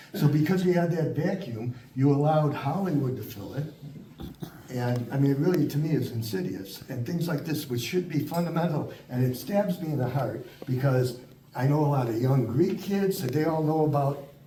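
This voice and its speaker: A man's voice comes through audible room echo and noticeable background noise, moving at a moderate pace with ordinary pitch variation. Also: fairly high pitch for a man. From Chicago, US Midwest. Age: 70s. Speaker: lecturer on Italian history. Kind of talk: Q&A discussion after a talk. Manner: animated.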